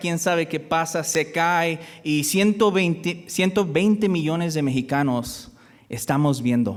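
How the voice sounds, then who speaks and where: A man at a high pitch, speaking at a very slow pace. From US (born in Michoacán, Mexico). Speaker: guest preacher. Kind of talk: sermon. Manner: halting.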